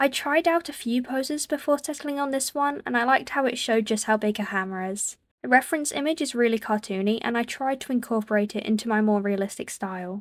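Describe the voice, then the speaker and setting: A woman's high voice at a very fast pace, with hardly any pauses and ordinary pitch variation. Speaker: digital artist. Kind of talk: casual art commentary voiceover. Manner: stuttering, mixing up words.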